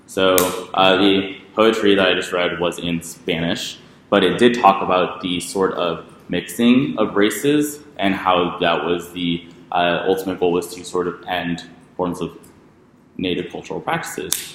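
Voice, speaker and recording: The speaker talks at a fairly slow pace with an American accent, heard through audible room echo and noticeable background noise. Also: man, very deep, low pitch for a man, fairly even intonation. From Texas border region. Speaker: debate instructor. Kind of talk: lecture. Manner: hesitant, many fillers.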